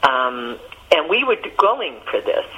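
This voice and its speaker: Noticeable background noise runs under the recording. Over it, a woman speaks at a fairly slow pace. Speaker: therapist and cancer survivor. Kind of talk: interview.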